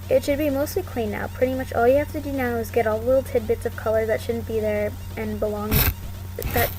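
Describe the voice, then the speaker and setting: Noticeable background noise surrounds a woman who talks at a fairly quick pace. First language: not English. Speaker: digital art tutorial creator. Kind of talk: tutorial. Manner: fast; stutters a lot.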